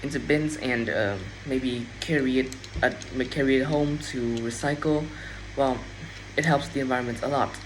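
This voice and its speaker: The speaker has a Vietnamese accent and a moderate pace, with long, frequent pauses. Noticeable background noise is present. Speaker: English learner practicing speaking. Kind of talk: speaking test practice. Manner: halting, with self-corrections.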